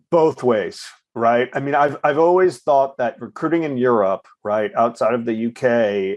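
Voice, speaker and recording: Against a quiet background comes a normal speaking voice with ordinary pitch variation. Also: man. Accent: American. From United States. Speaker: recruitment firm founder. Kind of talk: interview conversation. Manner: repeats words, fillers.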